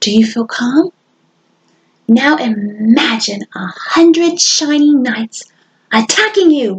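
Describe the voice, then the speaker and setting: A woman speaks in a squeaky, put-on character voice, high-pitched and lively in intonation, at a fairly slow pace with long, frequent pauses. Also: dry, close sound with no echo. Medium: read story.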